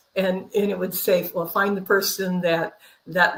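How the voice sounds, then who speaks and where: A woman speaks with an American accent at a moderate pace. Her pitch is medium and her intonation fairly even. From California, Central Valley (Fresno area). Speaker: minister and spiritual teacher. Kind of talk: interview. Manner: halting, many repeated words.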